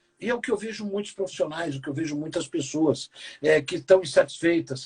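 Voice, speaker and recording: Animated in tone and lively in intonation, the speaker talks at a fairly quick pace in a dry, close sound with no echo. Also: man. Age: 60s. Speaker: keynote speaker and business professor. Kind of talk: interview conversation.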